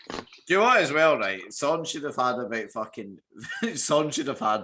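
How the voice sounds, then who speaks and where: This man talks with a Scottish accent. His intonation is lively and his pace is moderate. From Scotland. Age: 20s. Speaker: podcast host. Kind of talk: casual podcast chat.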